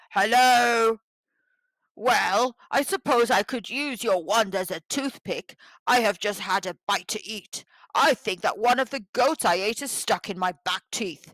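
A put-on character voice, gruff and growling, pitched fairly high and delivered at a fairly slow pace.

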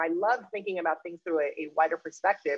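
A woman with a fairly low pitch at a fairly quick pace, in a dry sound with no echo against a quiet background. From Peru, raised in Spain and US. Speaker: activist and researcher. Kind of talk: panel discussion. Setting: video call. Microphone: video call.

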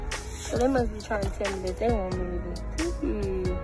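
A woman is speaking. The sound is dry with no echo, and clear music plays in the background. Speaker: vlogger. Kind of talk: casual vlog chat. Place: shop. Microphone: phone near.

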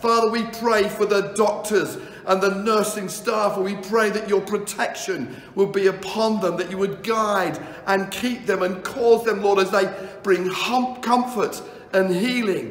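Audible room echo surrounds a man speaking in a monotone, flat intonation. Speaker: pastor. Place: home room.

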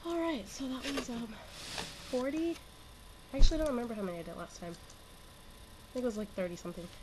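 The speaker moves at a fairly quick pace with very wide pitch swings and long, frequent pauses. Noticeable background noise runs throughout. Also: woman, high pitch for a woman. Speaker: vlogger, session wrestler. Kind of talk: casual vlog monologue. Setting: own bedroom. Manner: laughs often, casual with fillers.

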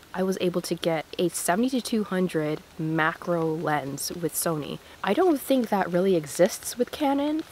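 Very wide pitch swings at a moderate pace with hardly any pauses, against noticeable background noise. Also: woman, fairly low pitch for a woman. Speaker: photographer. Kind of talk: casual vlog talk to camera while walking outdoors. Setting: outdoors.

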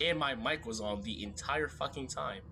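Noticeable background noise accompanies a man. He speaks at a fairly slow pace in an animated tone. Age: 18, just out of school. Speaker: gamer streamer. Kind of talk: gameplay commentary. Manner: animated, excitable reactions. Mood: frustrated, joking. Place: home room.

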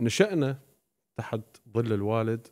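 Over a quiet background, a man of medium pitch speaks with ordinary pitch variation. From Iraqi family, raised in Syria. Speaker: Shia preacher. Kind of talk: podcast interview. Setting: studio. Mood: calm, reflective storytelling. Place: studio. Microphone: studio mic.

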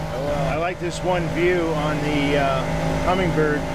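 Loud background noise surrounds a man talking at a fairly slow pace, his voice dry with no echo. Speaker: solo boater vlogger. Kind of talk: casual vlog chat. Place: boat. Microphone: phone near.

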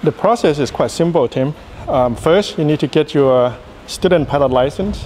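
The speech moves at a moderate pace with light background noise. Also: man. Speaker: flight instructor. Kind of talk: interview answer. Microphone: handheld.

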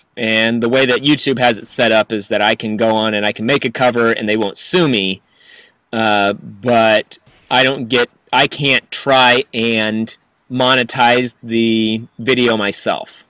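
Over a quiet background, a man speaks at a fairly slow pace with fairly even intonation, the sound dry with no echo. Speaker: musician. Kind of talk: casual chat. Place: home room. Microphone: studio mic.

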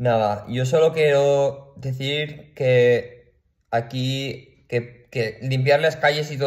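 Over a quiet background, a man speaks at a very slow pace in a somewhat breathy voice. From Valencia region, Spain (Picanya, L'Horta Sud). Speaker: video blogger. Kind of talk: personal rant to camera. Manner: animated, with frequent fillers and repetitions. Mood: worried, indignant, upset. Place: home room. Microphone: phone near.

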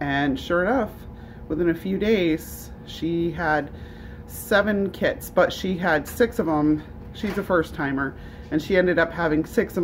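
A woman with an ordinary speaking voice talks at a moderate pace and fairly low pitch, with ordinary pitch variation and light background noise. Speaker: rabbit keeper. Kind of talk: casual vlog chat. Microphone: phone near.

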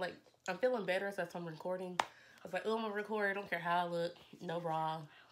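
Over noticeable background noise, a woman talks at a very fast pace in a medium pitch with fairly even intonation. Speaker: YouTuber. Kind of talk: casual vlog talk while eating. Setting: at home. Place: home room. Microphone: phone near.

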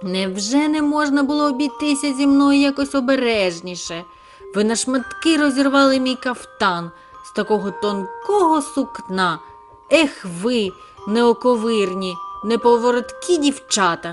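In a put-on character voice, a woman speaks at a moderate pace with a high, shrill, creaky pitch while clear music plays in the background. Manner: indignant, complaining.

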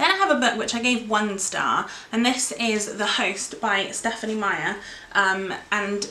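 A woman is heard with light background noise. There is audible echo in the room. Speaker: book vlogger. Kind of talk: casual vlog chat. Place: home room. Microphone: camera far.

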